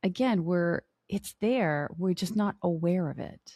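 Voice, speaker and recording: A woman talks at a very slow pace in a fairly low, somewhat breathy voice. The sound is dry and close, with no echo. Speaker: podcast host. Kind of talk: interview question.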